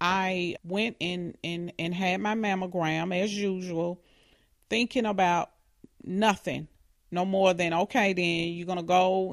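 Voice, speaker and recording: Against a quiet background, a woman has an ordinary speaking voice. Her pitch is fairly low and her intonation fairly even. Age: 40s. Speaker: hospital technician and cancer patient. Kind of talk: interview testimony.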